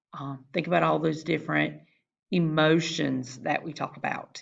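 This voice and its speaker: A woman speaks with a very deep, low pitch and vocal fry. Her pace is moderate. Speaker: school counselor teaching a class. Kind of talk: recorded class lesson.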